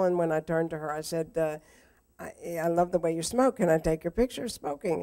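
Against a quiet background, a woman with an American accent and an unremarkable speaking voice talks at a fairly low pitch with fairly even intonation. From Houston, Texas. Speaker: photographer. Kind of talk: conversation with slide presentation. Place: hall. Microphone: too quiet at first; handheld.

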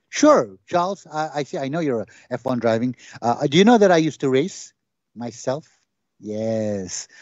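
A man speaks at a moderate pace against a quiet background, the sound dry with no echo. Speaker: stand-up comedian. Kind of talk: stand-up comedy monologue. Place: stage. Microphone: handheld.

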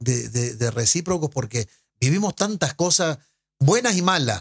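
Somewhat breathy, a man with a fairly high voice speaks at a fairly slow pace with ordinary pitch variation against a quiet background. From Uruguay. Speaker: former footballer and sports broadcaster; podcast guest. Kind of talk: casual interview. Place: studio. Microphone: studio mic.

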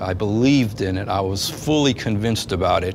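A man talks at a moderate pace. Music plays in the background. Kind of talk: personal testimony storytelling. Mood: reflective, earnest. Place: empty room.

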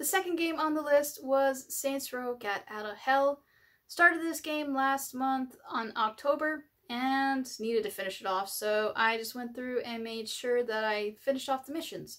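Against a quiet background, a woman talks at a moderate pace with a high pitch and ordinary pitch variation. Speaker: gaming channel host. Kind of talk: casual vlog chat. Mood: upbeat, friendly. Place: home room.

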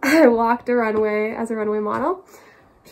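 The woman's delivery moves at a moderate pace. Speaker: vlogger. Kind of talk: casual vlog chat. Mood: cheerful, laughing. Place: home room. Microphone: phone near.

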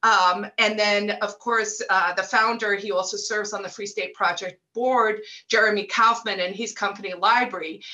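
In a bright, sharp tone, a woman talks at a moderate pace with hardly any pauses and monotone, flat intonation. The background is quiet. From South Africa. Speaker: libertarian activist; guest. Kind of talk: casual interview. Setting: video call. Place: home room. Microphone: earbuds.

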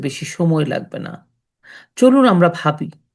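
A woman talks at a fairly low pitch in a normal speaking voice. The background is quiet. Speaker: storytelling channel host. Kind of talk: impassioned patriotic commentary.

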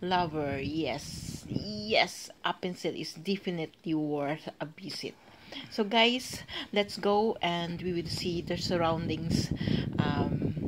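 There is noticeable background noise in this recording. A woman speaks at a very slow pace. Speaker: travel vlogger. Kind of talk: casual vlog chat. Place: street. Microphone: phone near.

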